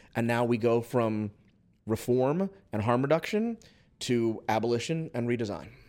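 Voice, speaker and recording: A man with an American accent and a plain, everyday voice, medium in pitch with ordinary pitch variation, at a moderate pace in a very clean recording with a silent background. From US Northeast, Philadelphia. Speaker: social psychologist. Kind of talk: casual chat.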